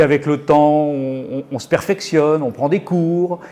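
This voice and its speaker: A man speaks fairly slowly at a fairly high pitch with fairly even intonation. Background noise is noticeable. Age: 60s. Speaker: gallery owner and painter. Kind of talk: interview. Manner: hesitant, many fillers.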